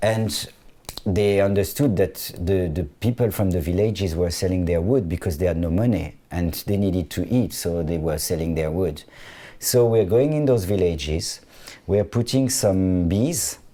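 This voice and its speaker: A man with a French accent speaks in a very deep, low voice with a dark, mellow tone. His pitch varies in an ordinary way, and the recording is very clean with a silent background. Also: moderate pace. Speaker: fashion designer. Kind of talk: interview conversation. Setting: studio. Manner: halting, frequent restarts.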